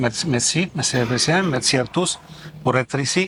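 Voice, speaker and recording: This man speaks with ordinary pitch variation. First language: Italian (speaking French). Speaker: ambassador. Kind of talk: formal ceremony speech. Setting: official ceremony. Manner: halting.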